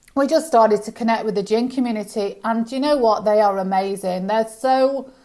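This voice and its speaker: A woman speaks in a British accent with a dark, mellow tone. Her pitch is fairly high with ordinary variation, and her pace is fairly quick. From UK. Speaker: business founder. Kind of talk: casual chat. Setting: podcast interview.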